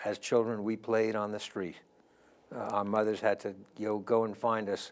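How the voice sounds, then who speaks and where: A man speaks in a fairly low voice with a New York accent. His delivery is monotone and flat, at a moderate pace. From US Northeast, New York City (the Bronx). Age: 70s. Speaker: interview guest. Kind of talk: interview.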